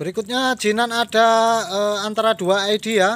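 The pace stays moderate. The speaker is a man. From Indonesia. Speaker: plant seller. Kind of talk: sales pitch. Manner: repetitive promo phrases like 'murah sekali' with filler hesitations. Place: garden. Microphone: phone near.

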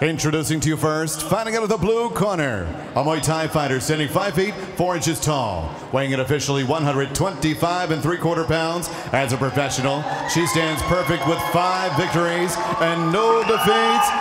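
Noticeable background noise sits behind a man with fairly high pitch and ordinary pitch variation. He speaks at a moderate pace with very even loudness. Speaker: ring announcer. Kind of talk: formal fight announcing; ring announcement. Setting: arena with audience. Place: hall. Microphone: handheld.

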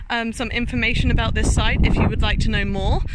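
A woman speaks with ordinary pitch variation in a dry sound with no echo, though noticeable background noise is present. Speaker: vlogger. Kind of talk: casual vlog chat. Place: open country. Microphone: phone near.

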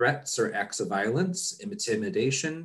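A somewhat breathy man at a moderate pace, with very wide pitch swings against a quiet background. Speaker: conference session moderator. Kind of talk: reading housekeeping announcements. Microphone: video call.

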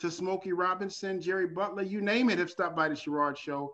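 A man speaks against a quiet background. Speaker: talk show host. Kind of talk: show intro and sponsor plug. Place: home room. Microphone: webcam.

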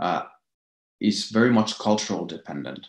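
Against a quiet background with audible room echo, a man talks in a fairly low pitch. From Finland. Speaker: innovation expert, lecturer; lecturer. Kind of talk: lecture. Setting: video call. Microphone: webcam.

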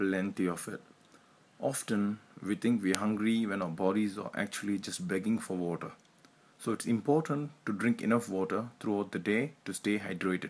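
A man with an Indian accent, fairly low pitch and moderate pace, against a quiet background. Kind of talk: health tips explainer narration.

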